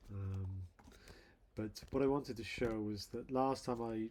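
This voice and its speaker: A man mumbles at a moderate pace. His pitch sits fairly low. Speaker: software developer. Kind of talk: tutorial. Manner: mumbling; halting. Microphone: quiet levels compared to playback audio.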